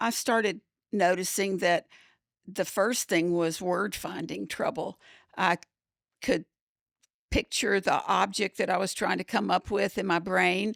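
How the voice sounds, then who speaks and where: The voice moves at a fairly slow pace with long, frequent pauses, vocal fry and fairly even intonation, on a very clean recording with a silent background and a dry, close sound with no echo. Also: woman. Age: 70s. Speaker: podcast co-host living with mild cognitive impairment. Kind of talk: casual chat. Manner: halting.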